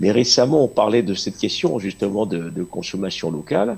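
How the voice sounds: Talking at a fast pace, a man with a fairly low pitch uses big pitch swings, and his voice has vocal fry, a slightly husky edge and a slightly mellow tone.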